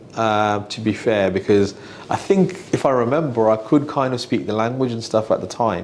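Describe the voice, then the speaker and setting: Noticeable background noise sits behind a man's voice. He speaks at a fairly slow pace with lively intonation. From Birmingham, England (early years Manchester, Islamabad). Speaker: financial adviser, business owner. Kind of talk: podcast interview. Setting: office. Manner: hesitant, many fillers and repeats.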